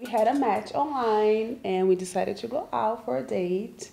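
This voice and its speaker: This woman has a Brazilian accent and a fairly high, dark, mellow voice. Her intonation is lively. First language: Portuguese. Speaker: graduate student and babysitter. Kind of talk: casual interview.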